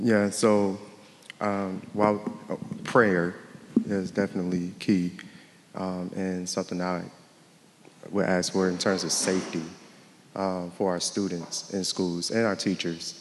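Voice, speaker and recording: Speaking at a fairly slow pace, a man uses a very deep, low pitch and a monotone, flat intonation, leaving long, frequent pauses. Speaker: parent panelist. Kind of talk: panel discussion. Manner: soft-spoken at times.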